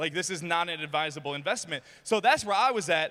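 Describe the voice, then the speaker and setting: An animated, bright and sharp voice with a Michigan accent, very fast pace and ordinary pitch variation. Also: man. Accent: Midwestern US (Michigan). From US Midwest, Detroit, Michigan. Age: 20s. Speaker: motivational speaker. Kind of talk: motivational speech. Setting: stage with audience.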